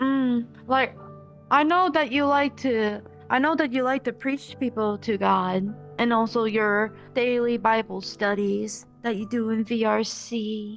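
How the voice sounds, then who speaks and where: Over music in the background, a woman with a fairly high pitch speaks at a fairly slow pace with ordinary pitch variation. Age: 20s. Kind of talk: interview answer. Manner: soft-spoken.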